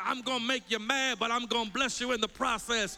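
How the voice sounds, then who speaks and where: A man's raised, projected voice at an extremely high pitch. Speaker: Baptist preacher. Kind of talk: sermon. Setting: church. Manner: fervent, call-and-response, building in intensity; animated, rhetorical, lists in repeated phrases.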